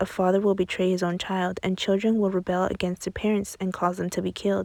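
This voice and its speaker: Quiet speech from a woman at a fairly quick pace, with a dark, mellow tone. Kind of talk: Bible reading. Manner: fast in places.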